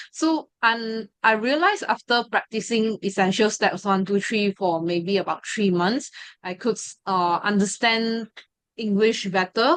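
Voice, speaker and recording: With a Mandarin accent, a woman talks at a medium pitch with ordinary pitch variation against a quiet background. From Malaysia, ethnic Chinese. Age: 20s. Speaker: study group member sharing experience, law student. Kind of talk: testimony. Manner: hesitant, many fillers.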